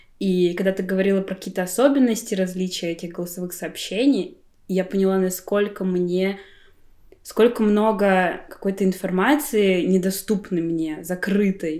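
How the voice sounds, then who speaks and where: A woman's medium-pitched voice, dark and mellow in tone, at a moderate pace. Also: ordinary pitch variation, very clean recording, silent background. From Buryatia, Russia. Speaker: graphic designer. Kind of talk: casual chat. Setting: at a friend's home.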